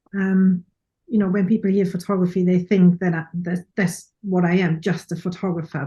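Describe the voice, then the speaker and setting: A woman speaks with a German accent in a dark, mellow, somewhat breathy tone at a fairly low pitch. Her moderate pace comes with monotone, flat intonation. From Germany. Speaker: professional photographer and speaker. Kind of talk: casual interview chat.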